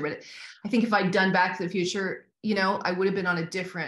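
A woman speaks at a very fast pace. Audible room echo surrounds her voice over a quiet background. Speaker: actress interviewee. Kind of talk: interview answer. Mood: warm, reflective. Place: home room. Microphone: video call.

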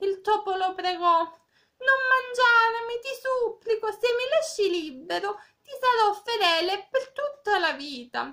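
A woman's raised, projected voice at an extremely high pitch, bright and sharp, with lively intonation, a very slow pace and big swings in loudness, over a quiet background. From Cosenza, Calabria, southern Italy. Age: 20s. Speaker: volunteer reader. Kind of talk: reading aloud a fable, with direct address. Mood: gentle, calm. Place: home room. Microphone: phone near.

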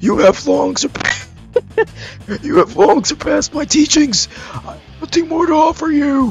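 Faint music plays behind a man doing a put-on character voice at an extremely high pitch, fairly slow, with lively intonation.

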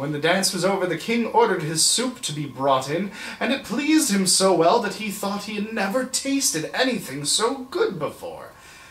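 With audible room echo, a man at a high pitch swings his voice widely at a moderate pace, his tone fairly bright.

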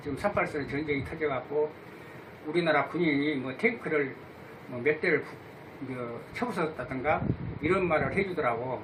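Long, frequent pauses break up a man's fairly high-pitched speech against noticeable background noise. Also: ordinary pitch variation, moderate pace. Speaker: grandfather recalling wartime history. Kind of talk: interview answer.

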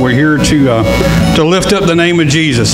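A man's voice with ordinary pitch variation over clear background music. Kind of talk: church welcome and prayer. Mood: warm, upbeat, then prayerful. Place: church.

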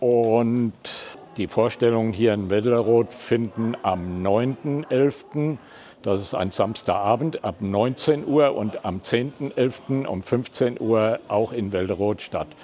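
Light background noise sits under a man's dark, mellow tone. He speaks at a very slow pace. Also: ordinary pitch variation. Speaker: amateur village theatre member. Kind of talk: interview answer. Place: hall. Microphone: lapel.

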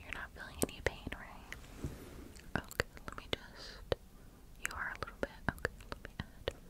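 Whispering and soft-spoken, a woman talks at a moderate pace with long, frequent pauses. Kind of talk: soft-spoken roleplay. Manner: soft ASMR whisper, close to the microphone. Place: home room.

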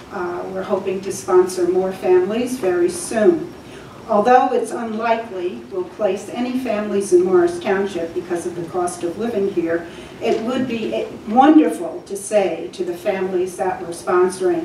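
A medium-pitched woman with an American accent at a moderate pace, ordinary pitch variation, light background noise and audible room echo. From New Jersey. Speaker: church volunteer and resident giving public comment. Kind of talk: public comment. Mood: earnest, calm. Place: meeting room.

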